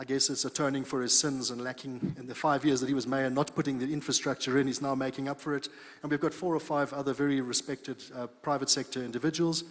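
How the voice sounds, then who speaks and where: A man's fairly high-pitched, monotone voice with flat intonation, very fast and with hardly any pauses. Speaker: company founder presenting at a conference. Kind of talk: conference presentation.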